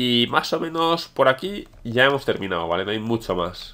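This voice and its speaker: Here a man talks with a Spanish accent. His pitch is medium. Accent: Peninsular Spanish. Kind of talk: gameplay commentary. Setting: home recording. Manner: animated.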